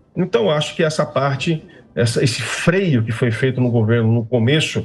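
A somewhat breathy male voice at a moderate pace. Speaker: guest. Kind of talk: interview answer. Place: home room. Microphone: video call.

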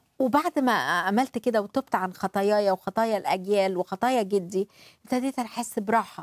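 With an Egyptian accent, a woman talks at a moderate pace with hardly any pauses, in a dry sound with no echo over a quiet background. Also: ordinary pitch variation. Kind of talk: religious talk show with live interpretation. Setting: studio. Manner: animated. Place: studio. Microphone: lapel.

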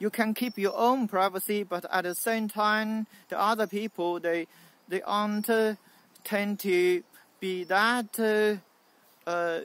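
A man's high voice comes through dry, with no echo. He talks at a very slow pace with long, frequent pauses. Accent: Chinese. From mainland China. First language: Mandarin Chinese. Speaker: YouTuber; vlogger. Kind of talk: vlog monologue. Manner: halting, many fillers. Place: garden. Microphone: phone near.

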